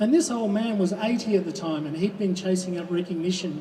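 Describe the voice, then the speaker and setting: Spoken with an Australian accent, the clip has audible room echo and noticeable background noise. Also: man. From Western Australia (Kalgoorlie, Goldfields). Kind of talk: rally speech. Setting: outdoors at a public rally.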